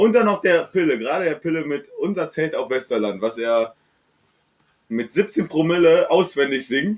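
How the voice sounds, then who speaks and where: At a moderate pace, a man with a fairly high voice swings very widely in pitch. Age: 20s. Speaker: podcast guest. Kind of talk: casual chat.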